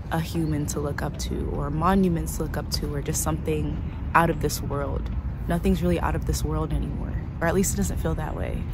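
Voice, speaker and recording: Through noticeable background noise and audible room echo, a woman with an American accent talks at a fairly quick pace in a very deep, low voice with ordinary pitch variation. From United States. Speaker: travel vlogger. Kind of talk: casual vlog chat. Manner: whispering at times.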